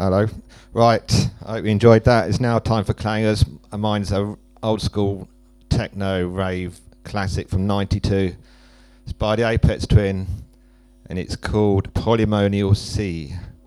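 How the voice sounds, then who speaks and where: Over music in the background, a man with a fairly low pitch speaks at a fairly slow pace in monotone, flat intonation with long, frequent pauses. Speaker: techno DJ and radio presenter.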